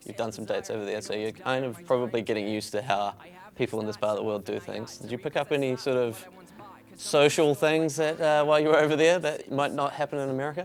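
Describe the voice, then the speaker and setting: Very fast talk in a New Zealand accent, with ordinary pitch variation. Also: man, medium pitch for a man. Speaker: music TV host. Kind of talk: interview.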